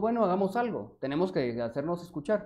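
A man's fairly high voice swings very widely in pitch as he talks fairly quickly. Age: 30s. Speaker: mayoral candidate. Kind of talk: interview.

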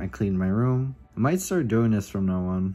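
Faint music plays in the background. A man speaks at a fairly low pitch. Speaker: vlogger. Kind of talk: casual vlog chat. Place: home room. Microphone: phone near.

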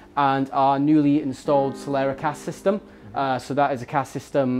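The speech moves at a moderate pace over faint music in the background. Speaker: bar staff guide. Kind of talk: guided tour explanation. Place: bar.

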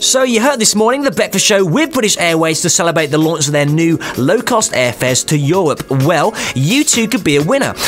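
With music in the background, a man uses an upbeat tone and a high pitch, with very wide pitch swings at a fairly quick pace. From Britain. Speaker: radio DJ. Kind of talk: radio DJ links. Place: studio.

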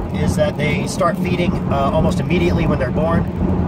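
Against loud background noise, a man speaks at a fairly quick pace, the sound dry with no echo. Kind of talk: casual explanatory monologue. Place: car. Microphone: phone near.

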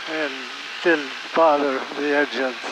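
Over noticeable background noise, a man speaks with monotone, flat intonation in a dry sound with no echo. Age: 90s; old. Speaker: war veteran pilot. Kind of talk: interview answer. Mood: calm, matter-of-fact. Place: plane. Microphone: headset.

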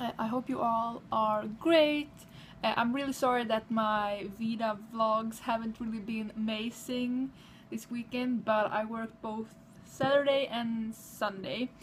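A woman's fairly high, somewhat breathy voice with a Swedish accent and fairly even intonation, over light background noise. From Sweden. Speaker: vlogger. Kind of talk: casual vlog. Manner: cheerful, halting. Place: home room. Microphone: webcam.

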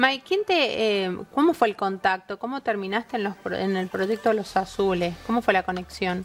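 Against light background noise, a woman talks at a moderate pace with hardly any pauses, her medium pitch showing ordinary variation. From Argentina. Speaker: TV show host. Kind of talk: interview. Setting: studio. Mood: warm, lively, playful. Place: studio.

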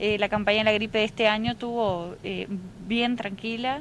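A woman speaks with fairly even intonation, her dry sound carrying no echo over light background noise. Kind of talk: interview answer. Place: street. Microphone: handheld.

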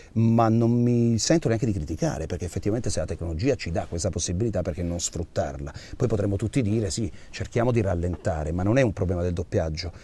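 Very fast and with lively intonation, a man talks at a fairly low pitch, his dark, mellow tone somewhat breathy and the sound dry with no echo. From Abruzzo, Italy. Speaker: voice actor. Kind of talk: interview answer. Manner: direct, caustic. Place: studio.

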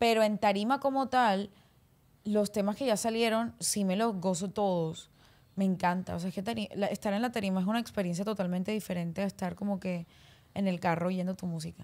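Speaking at a fairly quick pace, a woman keeps her intonation fairly even. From Colombia, Barranquilla (Caribbean coast); Colombia. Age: 20s. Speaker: singer; guest. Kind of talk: casual interview chat. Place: studio. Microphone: studio mic.

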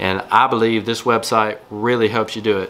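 Light background noise sits under a man speaking at a moderate pace. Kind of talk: tutorial.

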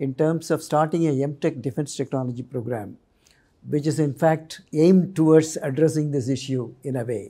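A man speaks in a dark, mellow tone at a moderate pace with ordinary pitch variation. The background is quiet. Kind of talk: interview answer. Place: studio. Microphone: lapel.

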